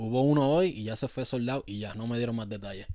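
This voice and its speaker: A man with a Puerto Rican accent at a fairly quick pace. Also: very clean recording, silent background. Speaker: sneaker podcast host. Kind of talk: casual chat.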